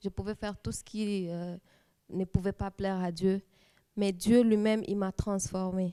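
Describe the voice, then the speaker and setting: Using a dark, mellow tone at a medium pitch, a woman speaks at a fairly slow pace with monotone, flat intonation in a dry, close sound with no echo. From DR Congo, Kisangani. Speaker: church youth leader, lawyer. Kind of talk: testimony. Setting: TV studio. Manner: halting.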